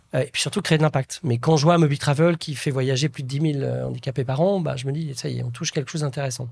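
A man's somewhat breathy, fairly high voice, very fast with hardly any pauses and fairly even intonation. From France, Nièvre (Burgundy) village. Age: 40s. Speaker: entrepreneur and impact investor. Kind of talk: interview.

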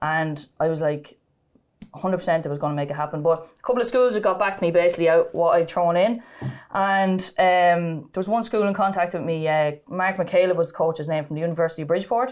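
Talking at a very fast pace, a woman with a Kildare Irish accent has a fairly low pitch and ordinary pitch variation. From Ireland, County Kildare (Sallins). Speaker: ladies Gaelic footballer. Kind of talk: interview, personal testimony.

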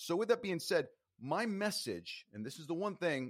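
With very wide pitch swings, a man speaks at a moderate pace in a dry, close sound with no echo. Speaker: singer and author. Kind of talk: casual interview chat.

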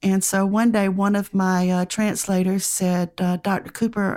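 A woman at medium pitch with a Southern US accent, talking at a fairly slow pace in a very clean recording with a silent background. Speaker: professor. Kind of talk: casual interview chat, storytelling.

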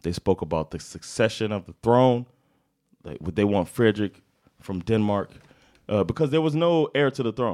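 On a very clean recording with a silent background and a dry, close sound with no echo, a fairly low-pitched man speaks at a moderate pace with very wide pitch swings and long, frequent pauses. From United States. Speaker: comedian and podcast co-host. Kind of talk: casual storytelling chat. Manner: animated.

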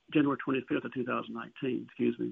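The intonation here is lively. The speaker is a man with a Southern US accent. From Alabama. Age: 60s. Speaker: songwriter and author. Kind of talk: interview.

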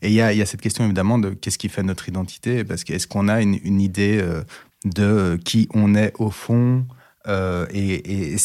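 Over a silent background in a very clean recording, a man with a fairly low pitch talks at a fairly quick pace with fairly even intonation. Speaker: diversity and inclusion expert. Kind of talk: testimony. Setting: studio. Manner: halting, many hesitations.

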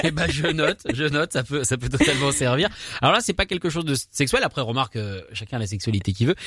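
Talking at a very fast pace, a man with a fairly high pitch sounds bright, sharp and animated, his intonation lively, in a dry, close recording with no echo. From France. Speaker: radio host. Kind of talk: casual chat.

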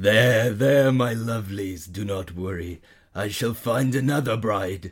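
In a put-on character voice, a man speaks in a menacing, theatrical tone at a fairly slow pace. His delivery is raspy and medium in pitch, on a very clean recording with a silent background.

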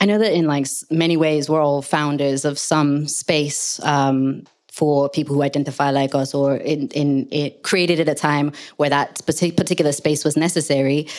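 Monotone, flat intonation at a moderate pace with very even loudness. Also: woman, very deep, low pitch for a woman. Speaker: panel moderator. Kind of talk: moderated panel. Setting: live panel with audience.

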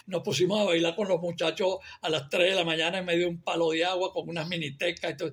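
Against noticeable background noise, a man speaks very fast at a high pitch with ordinary pitch variation. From Venezuela, Barquisimeto. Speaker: film director. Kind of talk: interview. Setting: video call.

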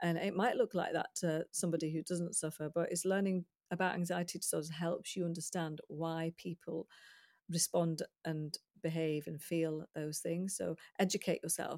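The delivery is monotone with flat intonation. The recording is very clean, with a silent background and a dry, close sound with no echo. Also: woman, fairly low pitch for a woman, moderate pace. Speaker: clinical psychologist. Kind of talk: expert interview. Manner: calm.

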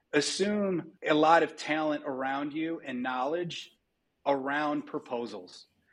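A fairly high-pitched man with an American accent, ordinary pitch variation and a fairly slow pace. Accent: Midwestern, comes and goes. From US Midwest, Dearborn, Michigan. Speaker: company CEO. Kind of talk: interview.

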